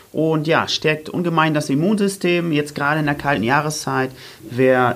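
A normal speaking voice from a man, moderate in pace and fairly high, with ordinary pitch variation. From northern Germany, Oldenburg. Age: 30s. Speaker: running coach and fitness trainer. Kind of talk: casual interview chat. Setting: studio.

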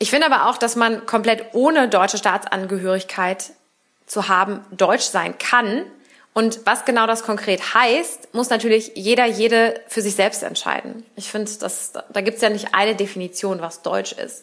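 Delivered in a normal speaking voice, the speech moves at a moderate pace with fairly even intonation. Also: woman, fairly high pitch for a woman. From Berlin, Germany. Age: 30s. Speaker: politician. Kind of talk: interview.

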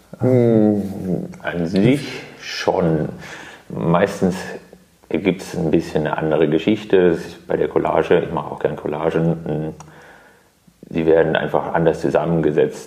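A man with a very deep, low pitch speaks fairly slowly, with ordinary pitch variation. He takes long, frequent pauses over noticeable background noise. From Karlsruhe, Germany. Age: 30s. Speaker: artist. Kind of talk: interview. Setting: artist's studio.

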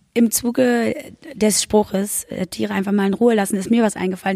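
Speaking very fast, a woman with a dark, mellow tone and medium pitch keeps a fairly even intonation in a dry, close sound with no echo. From Berlin-Brandenburg. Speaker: podcast host. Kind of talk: interview.

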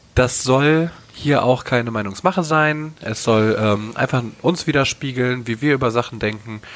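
Here a man has a plain, everyday voice at a medium pitch, with ordinary pitch variation. He goes at a fairly slow pace. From North Rhine-Westphalia, western Germany. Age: 20s. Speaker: podcast co-host. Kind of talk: casual chat.

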